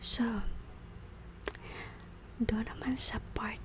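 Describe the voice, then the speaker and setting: The speaker is soft-spoken and goes at a very slow pace. Noticeable background noise runs underneath. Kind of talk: ASMR soft spoken.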